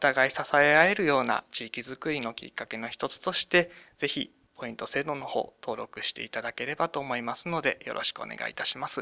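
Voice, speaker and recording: Fairly quick and fairly high-pitched, a man speaks in a bright, sharp tone with ordinary pitch variation, in a dry, close sound with no echo on a very clean recording with a silent background. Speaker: municipal government staffer. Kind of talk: radio interview.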